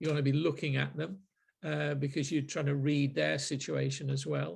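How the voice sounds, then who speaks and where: A man with a Manchester accent at a moderate pace, very even loudness, on a very clean recording with a silent background. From Manchester, northern England. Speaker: marketing group host. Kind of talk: group discussion. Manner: hesitant, many fillers and repeats.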